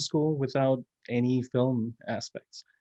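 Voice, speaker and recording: A man with a Spanish accent speaks at a medium pitch. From Mexico, Monterrey. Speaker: filmmaker. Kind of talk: panel discussion.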